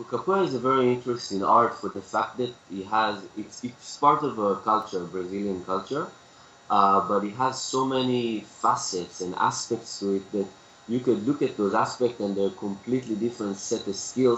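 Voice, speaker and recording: A man speaks at a medium pitch with an Israeli accent. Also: ordinary pitch variation, moderate pace. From Israel, Tel Aviv. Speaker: capoeira teacher. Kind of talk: interview.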